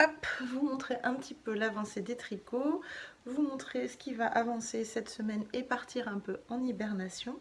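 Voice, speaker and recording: A soft-spoken woman, high in pitch with ordinary variation, at a fairly slow pace over noticeable background noise. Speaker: knitting vlogger. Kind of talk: casual vlog chat. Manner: hesitant, many fillers.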